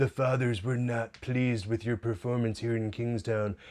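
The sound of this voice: This man uses a put-on character voice at a medium pitch. He speaks at a moderate pace.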